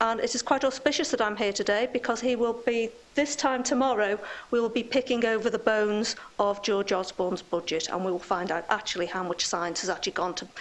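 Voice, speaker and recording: Against noticeable background noise, a woman with a fairly high voice speaks at a fairly quick pace with ordinary pitch variation. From northern England, near Liverpool. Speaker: scientist giving a seminar. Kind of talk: lecture. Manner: casual, joking.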